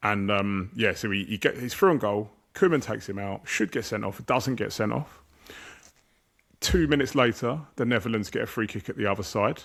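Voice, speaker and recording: Speaking at a fairly quick pace with an English accent, a man uses a fairly low pitch and ordinary pitch variation on a very clean recording with a silent background. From England. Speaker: football podcast host. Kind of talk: casual chat.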